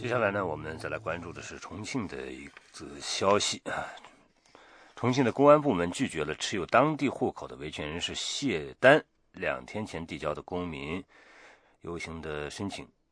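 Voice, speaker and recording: Over a quiet background with dry, close sound and no echo, a man uses vocal fry at a moderate pace, his pitch making very wide swings. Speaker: radio news host. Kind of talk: news presenting. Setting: studio. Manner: formal.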